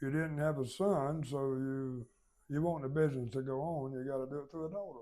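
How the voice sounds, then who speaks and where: This man has a Southern US accent. His pitch is fairly high. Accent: Southern US (Georgia). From US South, Georgia (Baxley). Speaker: business founder. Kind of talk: oral history interview. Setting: company headquarters.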